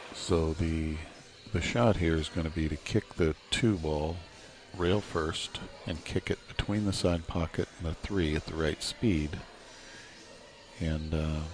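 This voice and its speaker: Speaking quietly, a man with a very deep, low pitch is heard over noticeable background noise. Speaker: pool commentator. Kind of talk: live commentary.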